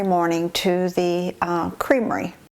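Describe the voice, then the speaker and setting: Over noticeable background noise, a woman speaks fairly slowly at a medium pitch. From rural US, small farm town. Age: 80s+. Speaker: documentary interviewee. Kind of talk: reminiscing interview. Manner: halting, many fillers.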